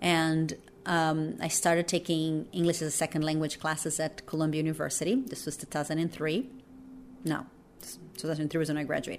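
Speaking at a fairly quick pace, a woman with a Portuguese accent has a very deep, low voice. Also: ordinary pitch variation. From Brazil. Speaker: documentary filmmaker. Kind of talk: interview. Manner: many fillers and hesitations.

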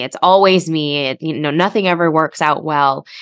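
This is an ordinary speaking voice with ordinary pitch variation. The background is quiet. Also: woman. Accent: American. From US Midwest, Chicago. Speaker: author and emotional health coach. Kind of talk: interview conversation.

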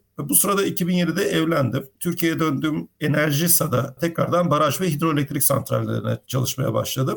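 Showing vocal fry and a fairly high pitch, a man talks at a moderate pace with ordinary pitch variation, very even loudness and hardly any pauses. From Turkey, Izmir. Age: 40s. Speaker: mechanical engineer. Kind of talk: interview.

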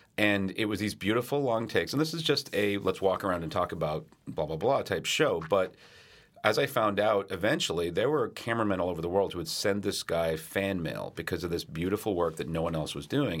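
On a very clean recording with a silent background, a man with an ordinary speaking voice and a fairly low pitch talks fairly quickly with lively intonation. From London, England to age six, then US. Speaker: cinematographer, former Steadicam operator. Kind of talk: casual interview chat. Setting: studio.

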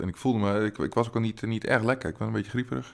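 On a very clean recording with a silent background, a man with vocal fry speaks at a very fast pace and ordinary pitch variation. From Twente, eastern Netherlands. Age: 40s. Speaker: comedian. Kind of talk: casual chat.

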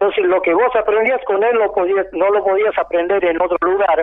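The speaker is a man with a high pitch. He talks at a moderate tempo. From Argentina, Santiago del Estero. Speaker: folk dancer and dance teacher. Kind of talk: interview. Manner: halting, with frequent repetitions.

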